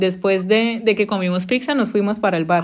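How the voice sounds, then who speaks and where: A woman speaks at a medium pitch with a Colombian accent. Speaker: podcast host, former au pair. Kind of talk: casual chat. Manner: fast.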